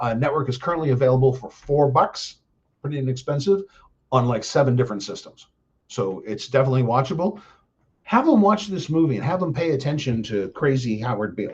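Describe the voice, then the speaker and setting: With an American accent, a man talks at a fairly quick pace and medium pitch. His intonation is lively, and his voice is somewhat breathy. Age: 60s. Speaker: live streamer, political commentator. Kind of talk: casual monologue on a live stream. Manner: rambling, many fillers (um, uh).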